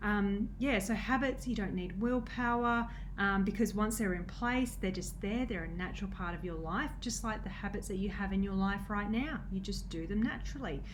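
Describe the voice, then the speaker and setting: With noticeable background noise and audible room echo, a woman at medium pitch speaks at a moderate pace with fairly even intonation and hardly any pauses. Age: 30s. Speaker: nutrition coach. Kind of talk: casual vlog talk. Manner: halting, many fillers.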